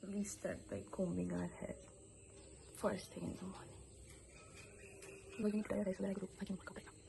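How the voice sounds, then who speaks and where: Noticeable background noise sits behind a woman talking at a fairly quick pace. Her loudness swings widely, and she takes long, frequent pauses. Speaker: vlogger. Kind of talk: casual vlog narration.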